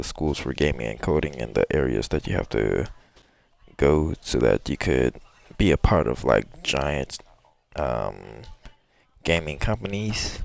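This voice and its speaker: A man talks at a very slow pace in a very deep, low voice with vocal fry. His intonation is lively. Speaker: gaming streamer. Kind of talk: casual chat. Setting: live stream. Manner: halting.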